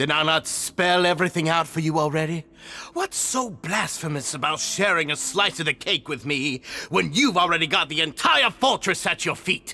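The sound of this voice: A put-on character voice from a man, fairly high-pitched and bright, sharp in tone, with ordinary pitch variation, few pauses and a moderate pace.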